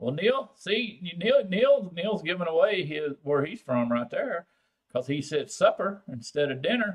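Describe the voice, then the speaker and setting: In a strong Texan accent, a man speaks fairly slowly at a high pitch, with very wide pitch swings. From Texas, San Antonio. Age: old. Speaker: vaping channel host. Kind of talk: live stream chat with viewers. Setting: live stream. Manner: casual, halting with fillers.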